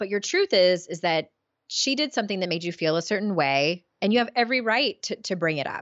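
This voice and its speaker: With a plain, everyday voice, a woman speaks at a moderate pace and medium pitch, her pitch varying in an ordinary way. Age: 40s. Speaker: author and life coach. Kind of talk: interview. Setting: video call.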